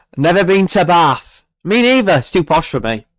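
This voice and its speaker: A man speaks with a Yorkshire accent and lively intonation. The sound is dry and close, with no echo. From northern England, Barnsley, South Yorkshire. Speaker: weather livestreamer. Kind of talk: live stream commentary. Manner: casual, hesitant with fillers.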